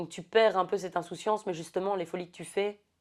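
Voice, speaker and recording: An ordinary speaking voice from a woman, fairly low in pitch with fairly even intonation, on a very clean recording with a silent background. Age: 30s. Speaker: podcast guest. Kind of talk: casual chat.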